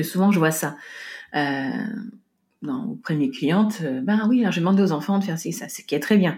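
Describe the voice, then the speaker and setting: Speaking at a fairly quick pace with long, frequent pauses, a woman uses a medium pitch and lively intonation, sounding somewhat breathy, with big swings in loudness and audible room echo. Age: 40s. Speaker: podcast host and home organization coach. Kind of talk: solo podcast monologue. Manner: halting, frequent repetitions and fillers.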